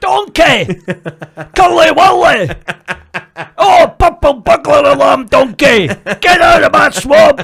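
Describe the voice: Someone in a put-on character voice talks at a fairly slow pace with long, frequent pauses. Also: man, extremely high pitch for a man.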